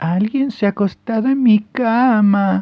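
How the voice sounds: A put-on character voice, gruff and hoarse, comes at a fairly high pitch and a fairly slow pace.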